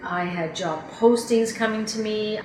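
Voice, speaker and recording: There is noticeable background noise. Through it, a woman speaks at a fairly high pitch. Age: 50s. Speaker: job seeker, former advertising professional. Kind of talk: testimonial interview.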